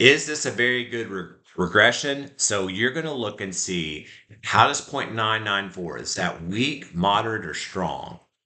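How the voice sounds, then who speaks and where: A man speaks at a moderate pace in a fairly low voice with a bright, sharp tone, and the room echo is audible. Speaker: math teacher. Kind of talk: lecture.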